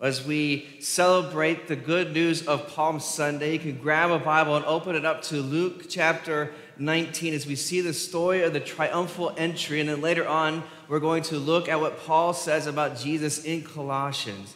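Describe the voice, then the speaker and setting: A man speaks in a monotone, flat intonation with hardly any pauses. Audible room echo surrounds his voice. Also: moderate pace. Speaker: preacher. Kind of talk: sermon. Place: church.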